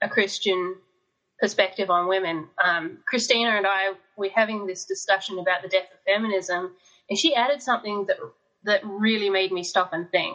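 A woman speaks in an Australian accent. Her pitch is medium. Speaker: fiction author. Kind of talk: casual chat. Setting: video call.

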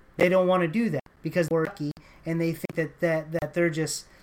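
This man speaks in an American accent. His pitch is high. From Texas. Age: 30s. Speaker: podcast host. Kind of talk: political commentary podcast. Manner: hesitant, many fillers; impassioned.

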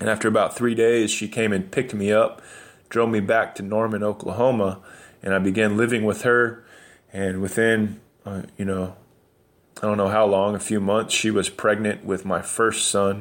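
A man with an American accent speaks in a fairly low, monotone voice with flat intonation, on a very clean recording with a silent background. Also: moderate pace. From New Mexico, US. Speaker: abolitionist activist. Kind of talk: personal testimony. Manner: hesitant, many fillers.

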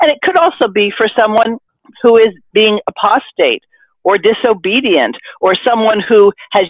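A woman's unremarkable speaking voice, fairly high-pitched, with lively intonation at a moderate pace. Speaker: podcast host. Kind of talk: casual discussion.

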